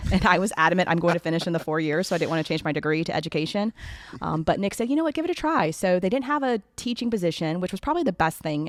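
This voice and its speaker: A fairly low-pitched woman with a Southern US accent, lively intonation and a very fast pace. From US South, Florida Panhandle. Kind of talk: podcast interview.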